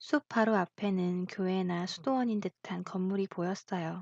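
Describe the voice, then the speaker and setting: A woman speaks fairly slowly at a medium pitch in a dark, mellow, calm, gentle tone, with fairly even intonation and a dry, close sound with no echo. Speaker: voice actor. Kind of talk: audiobook fairy tale narration.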